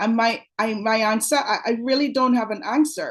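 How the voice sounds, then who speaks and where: Against a quiet background, a woman with a fairly high pitch and an energetic tone speaks at a moderate pace with ordinary pitch variation. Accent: Trinidadian. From Trinidad and Tobago. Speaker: pediatric dentist. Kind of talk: webinar presentation.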